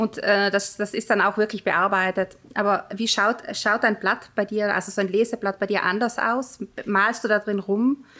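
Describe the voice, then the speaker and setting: With a slight South Tyrolean accent, a woman speaks in a bright, sharp tone with monotone, flat intonation. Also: medium pitch for a woman, moderate pace. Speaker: podcast host, author. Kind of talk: casual interview.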